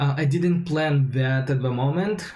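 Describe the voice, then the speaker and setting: Noticeable background noise and audible room echo around a medium-pitched male voice. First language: not English. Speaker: software developer, coding streamer. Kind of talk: live coding tutorial stream. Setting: livestream. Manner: hesitant, many fillers.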